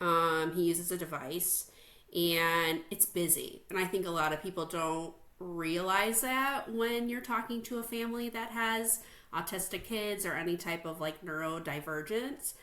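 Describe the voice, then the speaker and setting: A woman at medium pitch with a slight Chicago accent. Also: ordinary pitch variation, moderate pace. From US Midwest, Chicago North Shore suburbs. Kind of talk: interview.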